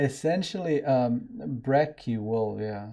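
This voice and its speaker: With a Serbian accent, a man talks at a medium pitch in a dark, mellow tone. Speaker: software developer and live-stream host. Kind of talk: casual live-stream chat. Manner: rambling, scattered.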